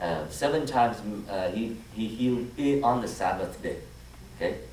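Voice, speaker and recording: A man with a Vietnamese accent, fairly low in pitch and fairly slow, amid audible room echo and noticeable background noise. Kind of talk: homily. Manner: halting, frequent fillers and restarts.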